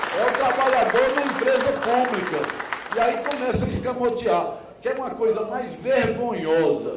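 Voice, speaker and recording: A man talks at an extremely high pitch and a moderate pace, with fairly even intonation. Crowd noise sits in the background, and the room echo is audible. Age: 60s. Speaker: union activist. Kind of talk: conference speech. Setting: conference stage with audience.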